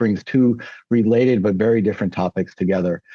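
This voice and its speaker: Over music in the background, a man with an American accent speaks very fast with fairly even intonation in a dry, close sound with no echo. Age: 60s. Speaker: former counselor, podcast guest. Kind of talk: interview.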